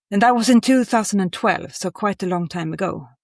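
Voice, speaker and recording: A woman with a Swedish accent is heard in a dry, close recording with no echo, very clean and with a silent background. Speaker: creative director of outdoor clothing brand. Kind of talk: interview. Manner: halting.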